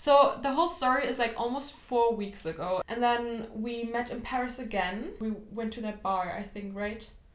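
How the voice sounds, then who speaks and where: Speaking with a German accent, the voice holds a moderate pace with hardly any pauses and ordinary pitch variation. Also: woman, fairly high pitch for a woman. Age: 20s. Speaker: podcast host. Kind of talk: casual chat.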